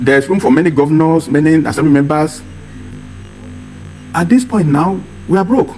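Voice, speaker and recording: A man with a Nigerian accent, fairly high pitch, lively intonation and fairly quick pace, music in the background. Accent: Nigerian (Yoruba) English. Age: 70s. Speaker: political advocate. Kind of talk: TV interview.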